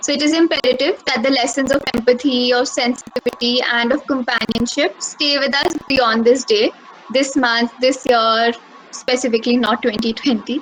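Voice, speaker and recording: A woman talks at a moderate pace in a high voice with fairly even intonation. Noticeable background noise can be heard. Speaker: speaker at mental health webinar. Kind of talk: prepared speech.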